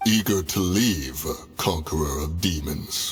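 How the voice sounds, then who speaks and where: A man puts on a character voice with a very deep, low pitch. He talks at a fairly slow pace. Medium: video game. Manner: formal, archaic, measured.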